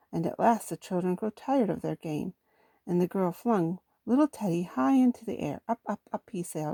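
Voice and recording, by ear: Over a quiet background, the speaker is reading aloud in a natural voice with lively intonation.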